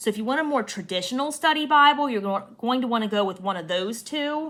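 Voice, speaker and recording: Bright and sharp in tone, a woman talks at a fairly quick pace with lively intonation. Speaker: Bible reviewer. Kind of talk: product review. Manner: animated.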